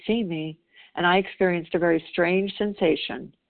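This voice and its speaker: A woman's plain, everyday voice with an American accent, fairly low in pitch, with fairly even intonation at a moderate pace. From US South. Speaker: twelve-step group member. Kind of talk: reading aloud. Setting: phone call.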